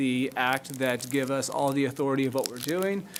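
A man's fairly high voice with fairly even intonation. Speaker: city staff attorney presenting ordinance. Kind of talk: public meeting presentation. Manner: fast.

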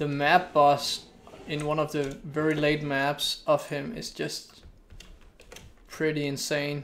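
A man with a Danish accent speaks very slowly at a fairly high pitch, leaving long, frequent pauses. His intonation is monotone and flat, with light background noise behind him. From Denmark. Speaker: gaming streamer. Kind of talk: live gameplay commentary. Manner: casual, thinking aloud. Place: home room. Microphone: studio mic.

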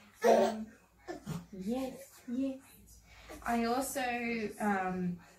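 A woman with ordinary pitch variation, amid audible room echo and light background noise. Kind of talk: casual vlog chat. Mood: relaxed, gentle night-time talk. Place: home room. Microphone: camera far.

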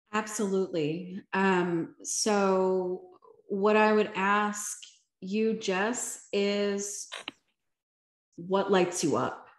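A woman with an American accent speaks at a very slow pace, leaving long, frequent pauses, with fairly even intonation and very even loudness. The background is quiet, but room echo is audible. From Philadelphia, US. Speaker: motivational speaker and life coach; motivational speaker, life coach. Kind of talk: Q&A answers; talk with personal testimony. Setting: video call. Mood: earnest, reflective. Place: home room. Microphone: video call.

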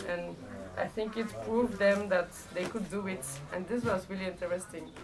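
Behind her, music plays clearly. The woman's delivery keeps a moderate pace. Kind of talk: interview answer. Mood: amused, warm. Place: workshop.

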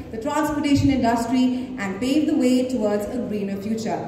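A woman talks at a fairly quick pace amid noticeable background noise and audible room echo. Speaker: event host. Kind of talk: formal announcement.

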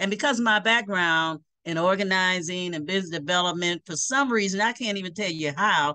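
A woman's bright, sharp voice at a moderate pace, with ordinary pitch variation, a dry sound with no echo and a quiet background. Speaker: remote interview guest. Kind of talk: interview answer. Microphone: video call.

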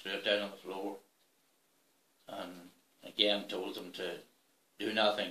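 A man's fairly low voice with a bright, sharp tone, in a Northern Irish accent, with audible room echo. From Northern Ireland, Fermanagh. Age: 70s. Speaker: retired farmer, school bus driver, former soldier. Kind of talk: personal memoir interview. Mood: calm, measured storytelling. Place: home room.

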